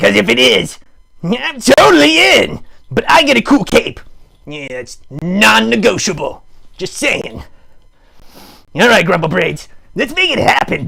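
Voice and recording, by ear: In a cartoonish character voice, a man speaks at a high pitch with big pitch swings, a bright, sharp tone, vocal fry and a fairly slow pace.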